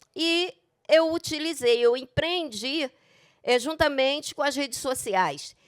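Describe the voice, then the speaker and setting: Everything is very clean, with a silent background. The speaker goes at a very slow pace. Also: woman, high pitch for a woman, ordinary pitch variation. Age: 60s. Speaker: retired school secretary and teacher. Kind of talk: panel talk.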